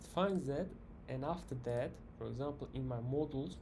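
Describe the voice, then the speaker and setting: Somewhat breathy and dark, mellow in tone, a man at medium pitch speaks with a non-native accent amid audible room echo. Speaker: software developer tutorial creator. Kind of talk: coding tutorial. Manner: halting, many fillers and restarts.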